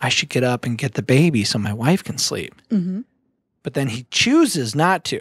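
A man talks at a moderate pace. The background stays quiet. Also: dry sound with no echo. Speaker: podcast host. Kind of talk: podcast conversation, explaining a book. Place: studio. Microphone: studio mic.

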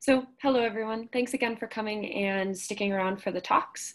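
A woman talks at a fairly quick pace with ordinary pitch variation against a quiet background. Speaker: presenter. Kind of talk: lecture. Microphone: video call.

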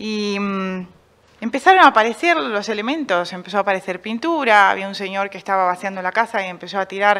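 A woman speaks at a fairly quick pace in a bright, sharp tone with ordinary pitch variation. Her loudness swings widely. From Argentina, Buenos Aires northern suburbs; Argentina. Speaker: painter; interviewee. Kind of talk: radio interview. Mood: reflective, personal. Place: stage. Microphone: studio mic.

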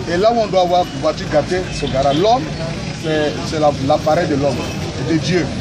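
Over crowd noise in the background, a man talks at a moderate pace with ordinary pitch variation. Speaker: preacher. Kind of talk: informal street preaching. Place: street. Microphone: phone near.

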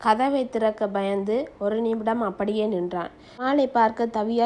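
This is an unforced reading voice. It comes across as simple read-aloud speech.

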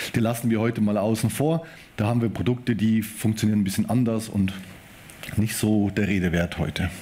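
Fairly quick speech from a man with a fairly low pitch, a dark, mellow tone, very even loudness and ordinary pitch variation. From Germany. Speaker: IT manager and conference speaker; conference speaker. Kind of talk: conference talk. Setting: stage with audience. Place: hall.

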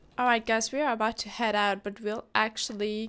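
A woman's fairly high, unremarkable speaking voice with fairly even intonation. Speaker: gaming YouTuber. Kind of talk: casual gameplay commentary.

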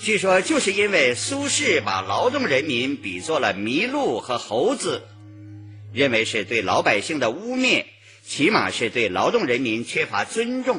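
A man talks at a fairly slow pace with a fairly high pitch and very wide pitch swings. Faint music plays in the background. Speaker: radio broadcaster, professional announcer. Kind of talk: radio literary appreciation narration. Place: studio.

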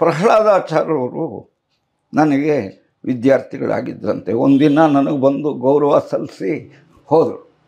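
Against a quiet background, a man speaks with a dark, mellow tone, a fairly high pitch, vocal fry and ordinary pitch variation. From Tamil Nadu border region near Hosur, India; Tamil Nadu. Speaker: retired Kannada teacher and writer; retired Kannada teacher. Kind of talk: interview. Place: home room. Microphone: lapel.

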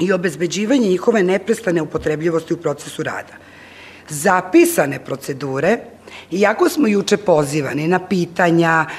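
A woman with an ordinary speaking voice, fairly low in pitch, lively intonation, moderate pace. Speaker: conference presenter. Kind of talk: lecture. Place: hall.

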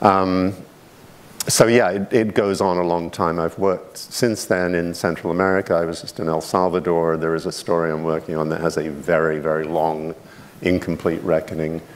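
A man with a very deep, low pitch speaks at a moderate pace with fairly even intonation. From Scotland, later South London; Scotland. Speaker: author. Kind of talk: panel discussion. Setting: auditorium with live audience. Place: studio.

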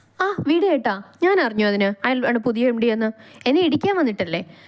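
A whiny, high-pitched put-on character voice from a woman, at a moderate pace with very wide pitch swings. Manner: whiny, pouting.

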